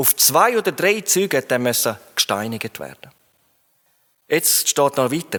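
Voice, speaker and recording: This man's voice swings very widely in pitch and carries vocal fry. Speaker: preacher. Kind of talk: sermon. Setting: church hall, live audience.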